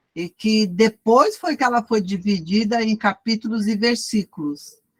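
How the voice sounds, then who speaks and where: A woman speaks at a fairly slow pace and fairly high pitch, somewhat breathy, with ordinary pitch variation and a dry, close sound with no echo. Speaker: Bible study teacher. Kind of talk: lecture. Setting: video call.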